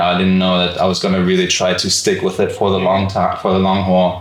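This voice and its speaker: A man's very deep, low voice at a fairly quick pace, with audible room echo and noticeable background noise. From Germany, Frankfurt. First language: German. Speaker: physical therapist and podcast co-host. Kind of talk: casual chat. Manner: many fillers, casual.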